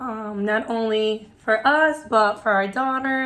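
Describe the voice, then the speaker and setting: This woman has a normal speaking voice with a fairly high pitch. Her pitch variation is ordinary. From New York (Queens), Dominican family. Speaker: preschool teacher, vlogger. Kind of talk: casual chat.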